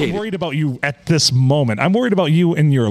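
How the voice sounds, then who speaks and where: Over noticeable background noise, a man talks at a very fast pace with very wide pitch swings. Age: 40s.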